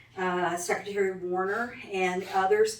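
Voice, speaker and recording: Both background noise and room echo come through noticeably. The speaker is a woman. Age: 60s. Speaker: county party organizer. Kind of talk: speech at club meeting. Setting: restaurant meeting room with audience.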